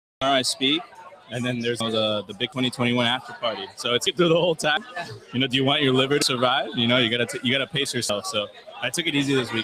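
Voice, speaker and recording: Very fast speech in a Miami accent, with noticeable background noise. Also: man, medium pitch for a man, ordinary pitch variation. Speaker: bitcoin conference speaker. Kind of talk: casual chat. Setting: live stream from conference tent. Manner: animated.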